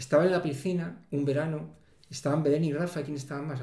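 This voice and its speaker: A man talks at a very fast pace, somewhat breathy, at a fairly high pitch. His tone is dark and mellow, and audible room echo surrounds it. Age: 50s. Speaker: civil servant living with multiple sclerosis. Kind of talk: interview.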